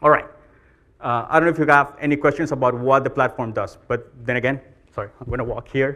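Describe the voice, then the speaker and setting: Talking at a very fast pace, a man with a Colombian accent has a bright, sharp tone and fairly even intonation. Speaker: marketing executive, conference speaker. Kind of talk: conference talk. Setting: stage with audience.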